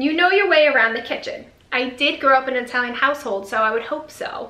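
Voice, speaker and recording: A woman with an American accent speaks at a very fast pace in a high, raised, projected voice with ordinary pitch variation. Noticeable background noise and audible room echo fill the recording. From New York. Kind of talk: casual vlog, reading viewer comments. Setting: home video recording with ring light.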